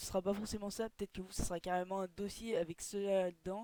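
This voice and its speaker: The woman talks at a very fast pace. Her pitch is medium. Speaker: gaming youtuber. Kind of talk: casual screen-recorded tutorial. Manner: hesitant, lots of filler words.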